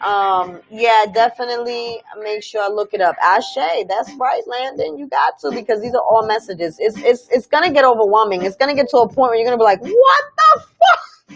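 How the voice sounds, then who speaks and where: A woman's fairly high voice in a New York accent, animated in tone, moderate in pace, with hardly any pauses. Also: lively intonation. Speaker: spiritual livestream host.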